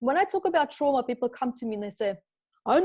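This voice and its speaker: Talking at a very fast pace, a woman with a high pitch and a dark, mellow tone makes very wide pitch swings. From Namibia. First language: not English. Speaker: spiritual teacher and author. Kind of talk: podcast interview.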